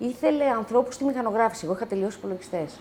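The woman's voice sits at a fairly high pitch but carries a dark, mellow tone. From Greece, Athens (born near Lamia). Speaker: wine bistro owner, single adoptive mother. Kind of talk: casual interview. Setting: home.

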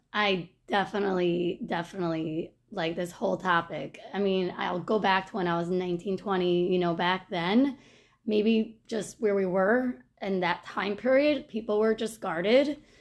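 A woman with an American accent speaks in a plain, everyday voice at a medium pitch, with ordinary pitch variation. She keeps a moderate pace with hardly any pauses. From Monsey, New York. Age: 30s. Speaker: podcast guest. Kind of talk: interview.

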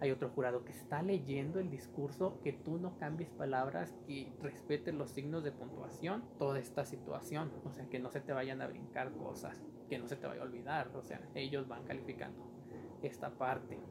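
A man's medium-pitched voice at a moderate pace, with ordinary pitch variation and noticeable background noise. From Mexico, Durango. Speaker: podcast host. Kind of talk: personal storytelling monologue.

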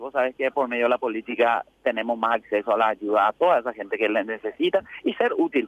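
Very fast speech from a man, with hardly any pauses. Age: 40s. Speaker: political candidate and businessman. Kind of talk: interview.

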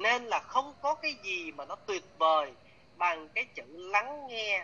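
A man's raised, projected voice, high in pitch, with very wide pitch swings and a very slow pace. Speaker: coach and trainer. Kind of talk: live class or workshop teaching. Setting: online video session. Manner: animated, chatty storytelling.

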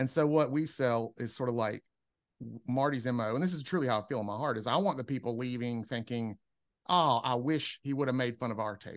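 A man with an ordinary speaking voice talks at a fairly quick pace. His pitch varies in an ordinary way against a quiet background. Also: medium pitch for a man. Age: 50s. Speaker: stand-up comedian. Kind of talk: casual chat.

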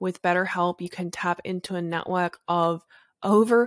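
With an Australian accent, the voice moves at a moderate pace with fairly even intonation, captured in a very clean recording with a silent background and a dry, close sound with no echo. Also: woman.

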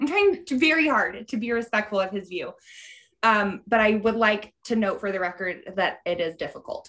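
A woman's strained, put-on character voice at a fairly high pitch and moderate pace. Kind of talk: formal, mock-diplomatic. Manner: strained, suppressing laughter.

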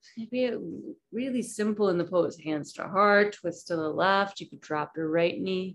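A woman with an unremarkable speaking voice talks at a moderate pace and medium pitch, with ordinary pitch variation, big swings in loudness and hardly any pauses. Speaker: yoga instructor. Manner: warm and lightly humorous.

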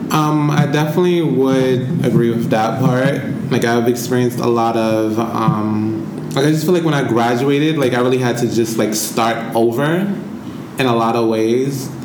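A man speaks at a moderate pace with hardly any pauses, very even loudness and ordinary pitch variation, amid audible room echo and noticeable background noise. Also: medium pitch for a man. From US, New York (Bronx). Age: 20s. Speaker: podcast co-host. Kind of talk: casual chat.

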